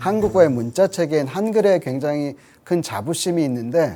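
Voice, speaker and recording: In a very clean recording with a silent background, a man with a fairly high pitch and a dark, mellow tone speaks at a moderate pace with very wide pitch swings. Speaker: linguistics professor. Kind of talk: interview.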